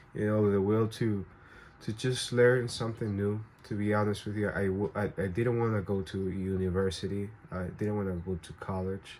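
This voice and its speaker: Speaking with a Spanish accent, a man has a fairly low pitch. His intonation is fairly even and his pace moderate. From Venezuela. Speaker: vlogger. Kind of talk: personal storytelling to camera. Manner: halting, many fillers and restarts.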